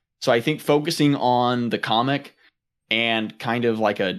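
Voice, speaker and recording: In a very clean recording with a silent background, this man has an unremarkable speaking voice, a medium pitch and ordinary pitch variation. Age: 20s. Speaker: podcast host and indie creator. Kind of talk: casual chat.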